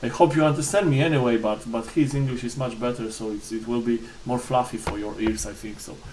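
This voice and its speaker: A man with a Polish accent at a very fast pace, hardly any pauses, medium pitch with ordinary pitch variation, big swings in loudness, and noticeable background noise. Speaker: board game reviewer. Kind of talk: unboxing review. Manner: halting, many fillers and repetitions.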